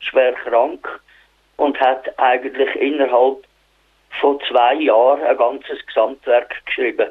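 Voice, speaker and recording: This is a man speaking with a Swiss accent. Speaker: community radio presenter. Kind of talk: radio presenting. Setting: phone call. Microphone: telephone line quality.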